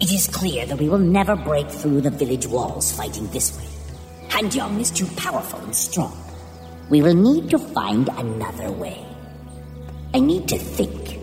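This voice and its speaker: Over clear music in the background, someone uses a put-on character voice at a moderate pace with long, frequent pauses. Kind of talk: commanding. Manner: hissing.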